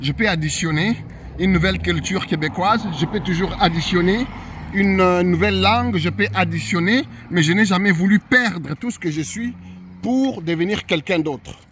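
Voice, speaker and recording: Noticeable background noise sits under a man speaking at a moderate pace, with a high pitch and lively intonation. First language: not French (speaking French). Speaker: YouTuber sharing immigration experience. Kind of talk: personal monologue to camera. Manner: many repetitions and false starts.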